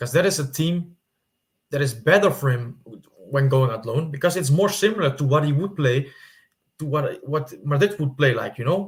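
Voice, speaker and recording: A man speaks with a non-native accent at a fairly high pitch. His voice is somewhat breathy. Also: ordinary pitch variation, moderate pace. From Netherlands. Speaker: football YouTuber. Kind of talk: casual commentary monologue. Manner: halting, with fillers and repetitions.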